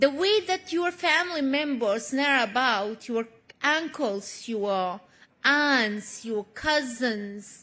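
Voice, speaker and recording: Using a raised, projected voice, a woman speaks at a very slow pace. Her high pitch swings very widely, and her tone is bright and sharp. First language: not English. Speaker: award honoree, activist. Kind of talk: award acceptance speech. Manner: emotional, halting.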